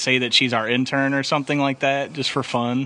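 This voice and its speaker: This man talks at a fairly quick pace in a medium pitch, with an ordinary speaking voice. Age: 20s. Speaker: podcast host. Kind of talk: casual chat.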